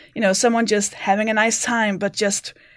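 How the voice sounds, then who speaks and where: A woman with a Danish accent, at a moderate pace and with fairly even intonation. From Denmark. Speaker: comedian. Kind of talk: casual chat. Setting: remote from home.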